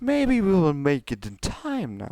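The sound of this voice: Putting on a character voice, a man speaks slowly in a fairly high, dark, mellow tone with very wide pitch swings.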